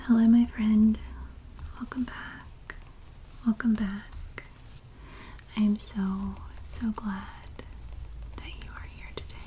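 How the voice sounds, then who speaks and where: Speech comes at a very slow pace with long, frequent pauses, against noticeable background noise. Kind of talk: ASMR magazine look-through. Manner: soft-spoken with some whispering.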